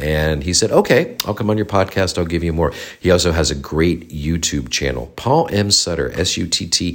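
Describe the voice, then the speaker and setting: A man talks with a very deep, low pitch. His intonation is lively. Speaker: podcast host and fascia specialist. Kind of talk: casual solo update. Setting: home office studio being renovated.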